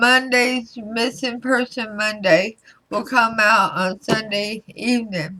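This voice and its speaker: A woman talks very slowly in a fairly high voice. Her intonation stays fairly even. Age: 50s. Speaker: tarot reader. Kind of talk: casual talk to camera.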